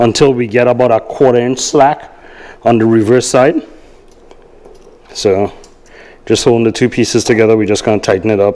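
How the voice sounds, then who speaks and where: A man speaks at a fairly quick pace in a dark, mellow tone, his loudness very even and his intonation fairly even. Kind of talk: tutorial. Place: garage.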